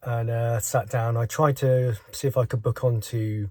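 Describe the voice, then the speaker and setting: A man speaks at a fairly slow pace in a flat monotone, his dark, mellow tone somewhat breathy. The sound is dry and close with no echo, on a very clean recording with a silent background. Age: 50s. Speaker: vlogger. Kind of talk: vlog monologue. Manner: halting.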